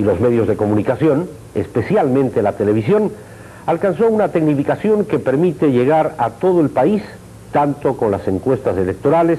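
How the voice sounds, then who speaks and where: Over noticeable background noise, a man with a fairly high pitch talks at a moderate pace. His pitch swings very widely while his loudness stays very even. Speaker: news anchor. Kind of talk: 1985 TV news broadcast, formal scripted reading of election statistics and history. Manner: formal, measured, authoritative.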